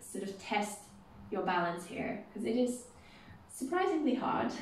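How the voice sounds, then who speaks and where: A woman's voice with light background noise and audible room echo. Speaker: exercise instructor. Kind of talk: exercise class instruction. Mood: playful, encouraging. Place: empty room. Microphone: camera far.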